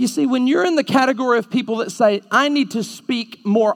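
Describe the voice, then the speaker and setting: In an Alabama accent, a man talks at a moderate pace. His voice is extremely high-pitched, with ordinary variation. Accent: Southern US (Alabama). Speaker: preacher. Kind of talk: fiery evangelistic sermon to a live youth audience, confrontational and call-and-response. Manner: punchy, animated rhetorical delivery with jabbing short sentences; mocking sing-song voicing of the audience's objections.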